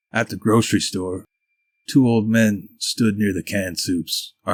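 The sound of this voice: Fairly even intonation from an unforced reading voice, set against a quiet background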